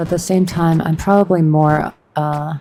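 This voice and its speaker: A woman talks at a fairly slow pace. Her voice is fairly low, with a dark, mellow tone. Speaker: vtuber streamer. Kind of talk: casual livestream chat while gaming. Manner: monotone; halting.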